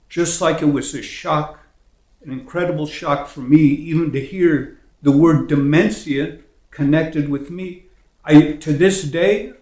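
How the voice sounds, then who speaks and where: Speaking with an American accent at a fairly slow pace, the voice swings widely in loudness against audible room echo. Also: man, fairly high pitch for a man, fairly even intonation. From US Midwest (Indiana). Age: 70s. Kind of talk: interview. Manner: halting.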